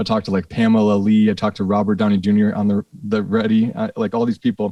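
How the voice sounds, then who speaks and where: A man with an American accent speaks at a very fast pace in a fairly low pitch with a dark, mellow tone. His monotone, flat delivery holds very even loudness in a dry, close sound with no echo. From Minnesota, Saint Paul area. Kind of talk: casual interview chat.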